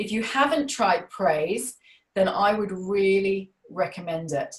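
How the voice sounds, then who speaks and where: At a very slow pace, a woman speaks in an Australian accent. Her medium-pitched voice shows ordinary pitch variation. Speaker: parenting coach. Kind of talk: webinar talk. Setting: webinar.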